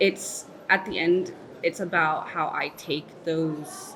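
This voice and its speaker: Very slow, fairly low-pitched speech from a woman with an American accent, fairly even in intonation, over noticeable background noise. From Texas, Dallas. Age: 30s. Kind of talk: interview answer.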